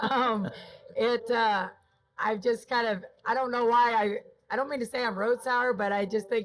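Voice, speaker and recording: With fairly even intonation and a fairly high pitch, a woman speaks in an ordinary speaking voice. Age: 50s. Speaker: rodeo stock contractor. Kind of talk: casual chat. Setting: podcast set at a rodeo.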